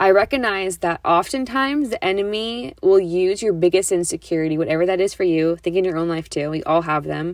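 This woman talks at a fairly quick pace with a medium pitch and ordinary pitch variation. The recording is very clean, with a silent background. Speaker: ministry leader and podcast host. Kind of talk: solo reflective talk. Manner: fast.

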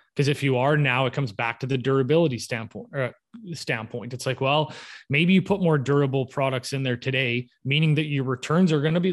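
In a Canadian accent, a normal speaking voice talks with fairly even intonation against a quiet background. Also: man. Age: 30s. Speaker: home builder. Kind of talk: casual interview.

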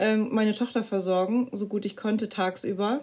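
This is a woman with an ordinary speaking voice, pitched fairly high. She keeps a moderate pace and fairly even intonation. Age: 30s. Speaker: mother sharing postpartum depression experience. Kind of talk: interview testimony.

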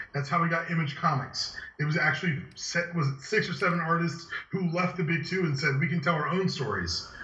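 A man speaks with fairly even intonation. Audible room echo and noticeable background noise surround him. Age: 20s. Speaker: podcast co-host. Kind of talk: casual chat.

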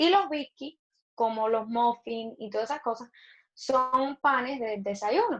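At a fairly slow pace, a woman talks in a high pitch with ordinary pitch variation. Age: 20s. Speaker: online show co-host. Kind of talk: casual chat.

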